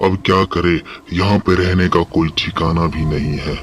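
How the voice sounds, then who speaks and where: A man's cartoonish character voice, very deep and low in pitch, at a moderate pace over clear background noise. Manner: fearful.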